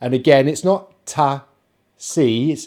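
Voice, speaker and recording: A man with a British accent speaks at a very slow pace and a medium pitch. His tone is dark and mellow, recorded very cleanly against a silent background. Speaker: English pronunciation teacher. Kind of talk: pronunciation lesson.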